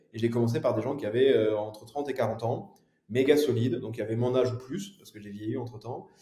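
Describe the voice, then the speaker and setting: A man's somewhat breathy voice, dark and mellow in tone, at a very fast pace. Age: 30s. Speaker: entrepreneur, consulting firm founder. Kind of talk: podcast interview. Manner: hesitant, many fillers.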